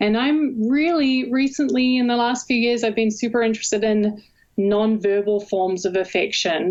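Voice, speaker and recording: At a fairly slow pace, a woman speaks. Her pitch varies in an ordinary way. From New Zealand. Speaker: university professor, communication researcher. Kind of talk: interview.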